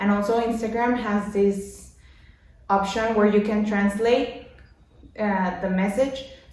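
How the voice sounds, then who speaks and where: With a Mexican accent and a medium pitch, a woman speaks at a fairly slow pace in a monotone, flat intonation, leaving long, frequent pauses, with audible room echo and noticeable background noise. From Mexico. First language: Spanish. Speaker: language learning vlogger. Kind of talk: tutorial. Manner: halting.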